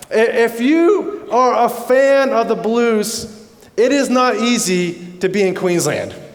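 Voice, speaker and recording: Audible room echo surrounds a man with an American accent who speaks at a very slow pace in an extremely high pitch, with lively intonation and very even loudness. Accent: North American, slightly Australianised. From Canada. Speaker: pastor. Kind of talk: sermon. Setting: church service with congregation. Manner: halting, with repetitions.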